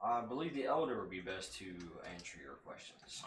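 A man's put-on character voice at a medium pitch, delivered at a fairly quick pace. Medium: actual play. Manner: formal, courteous.

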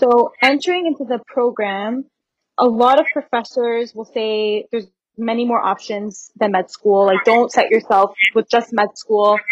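In a dry, close sound with no echo, a woman talks in a normal speaking voice at a fairly slow pace, her fairly high pitch showing ordinary variation. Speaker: university student. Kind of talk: casual interview.

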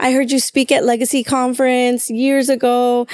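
At a moderate pace, a woman with an American accent talks at a high pitch in a dry, close sound with no echo. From Chicago, US Midwest. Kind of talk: casual conversation about faith.

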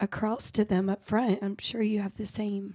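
A woman speaks at a fairly slow pace in a medium-pitched, dark and mellow tone with flat, monotone intonation. The recording is very clean with a silent background. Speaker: podcast co-host. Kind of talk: casual interview. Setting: studio. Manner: brief, saving voice.

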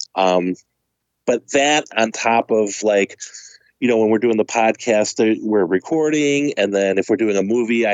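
The man has an unremarkable speaking voice pitched fairly low. He moves at a moderate pace with ordinary pitch variation. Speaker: podcast co-host. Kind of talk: casual chat.

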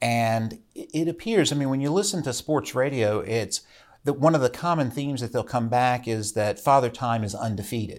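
In a very clean recording with a silent background, a man with an unremarkable speaking voice and an American accent talks at a moderate pace and medium pitch, with ordinary pitch variation. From Virginia mountains, Rockbridge County. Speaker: state legislator. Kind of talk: interview conversation. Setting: studio.

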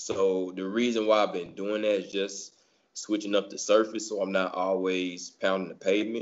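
Pitched fairly low, a man talks with an American accent at a moderate pace. His intonation is monotone and flat. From US South. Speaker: amateur marathon runner. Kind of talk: casual chat.

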